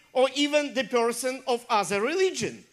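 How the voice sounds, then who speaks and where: The speaker uses ordinary pitch variation, with noticeable background noise behind the voice. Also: woman. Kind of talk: sermon. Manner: animated, call-and-response, urging the congregation to say amen and clap.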